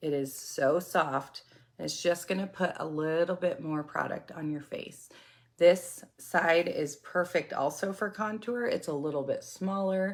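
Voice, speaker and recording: In a normal speaking voice, a woman with fairly low pitch talks at a fairly slow pace with ordinary pitch variation. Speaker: makeup product seller. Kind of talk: product tutorial livestream.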